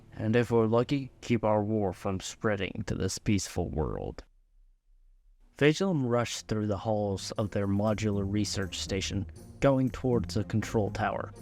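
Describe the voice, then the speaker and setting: The man has a plain, everyday voice at a fairly low pitch, with ordinary pitch variation and a moderate pace. The recording is very clean, with a silent background. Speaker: hobbyist story narrator. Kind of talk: read story narration. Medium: read story.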